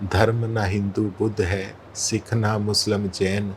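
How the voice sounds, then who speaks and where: Flat, monotone delivery in a man's fairly low-pitched voice. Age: 60s. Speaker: spiritual practitioner. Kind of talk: interview.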